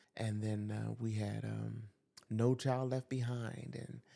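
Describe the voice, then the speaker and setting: A man's medium-pitched voice with a New York accent, a dark, mellow tone and fairly even intonation. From US Northeast, New York. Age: 60s. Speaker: school teacher. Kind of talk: podcast interview.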